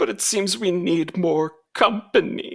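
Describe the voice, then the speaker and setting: In a put-on character voice, the man pitches himself high and moves at a fairly slow pace. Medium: actual play.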